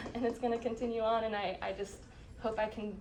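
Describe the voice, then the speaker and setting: Speaking at a very fast pace, a woman with a fairly high pitch is heard amid noticeable background noise and audible room echo. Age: young. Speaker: refugee resettlement coworker. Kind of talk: farewell speech. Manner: halting.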